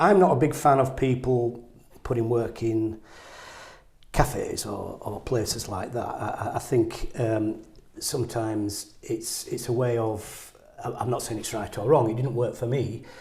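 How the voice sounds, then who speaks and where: Somewhat breathy and fairly slow, a man at medium pitch speaks with fairly even intonation amid audible room echo. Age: 60s. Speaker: painter. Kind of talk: interview conversation. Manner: halting, repetitive stammering.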